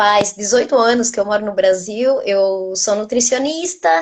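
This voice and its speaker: A woman with an Argentine accent, fairly high pitch, ordinary pitch variation and a fairly slow pace. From Argentina. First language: Spanish (speaking Portuguese). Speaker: nutritionist. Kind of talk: casual interview, live video.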